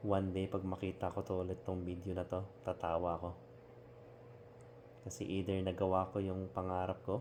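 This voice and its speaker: With a very deep, low pitch, a man speaks at a moderate pace and varies his pitch in an ordinary way. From Philippines. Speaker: overseas Filipino worker. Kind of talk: casual talk to camera. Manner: sincere, reflective.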